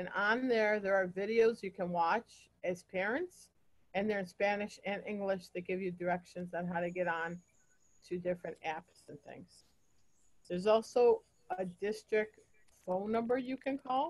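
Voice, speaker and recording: With an American accent, a woman speaks at a moderate pace in an unremarkable speaking voice, medium-pitched with ordinary pitch variation. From upstate New York. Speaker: school principal. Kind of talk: informational presentation to parents.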